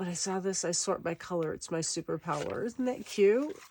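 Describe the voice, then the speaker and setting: Amid noticeable background noise, a woman talks fairly quickly. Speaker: paper crafting video creator. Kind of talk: crafting tutorial. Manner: casual, meandering.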